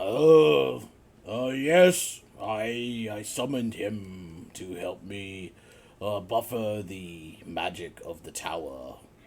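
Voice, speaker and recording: A man puts on a character voice, pitched fairly low and delivered very slowly. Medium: actual play. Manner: hesitant, halting, folksy.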